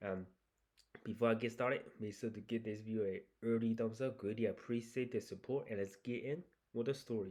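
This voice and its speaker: A man speaks with a Chinese accent at a fairly quick pace. His medium-pitched voice has fairly even intonation. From China. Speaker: YouTuber reading and reacting to Reddit stories. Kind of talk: casual reaction commentary with reading aloud. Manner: casual, hesitant with fillers.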